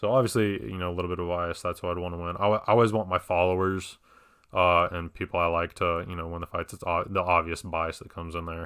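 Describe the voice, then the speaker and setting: A man's very deep, low voice at a very fast pace, with fairly even intonation. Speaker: MMA podcast host. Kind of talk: solo podcast commentary. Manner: casual, filler-heavy.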